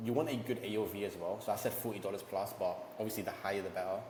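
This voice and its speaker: A very fast, animated man at medium pitch, with audible room echo and noticeable background noise. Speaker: ecommerce entrepreneur and YouTuber. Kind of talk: tutorial.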